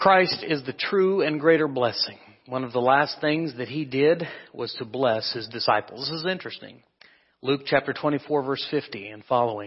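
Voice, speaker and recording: With a Midwestern US accent, a man talks at a moderate pace in a fairly high pitch, with ordinary pitch variation and big swings in loudness. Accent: US Midwest. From Kansas. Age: 30s. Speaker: preacher. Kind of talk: sermon.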